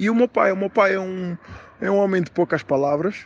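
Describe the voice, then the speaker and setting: The speaker has a European Portuguese accent and fairly even intonation. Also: man. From Portugal, Lisbon area. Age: 20s. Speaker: interview guest. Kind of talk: interview. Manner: hesitant, many filler sounds.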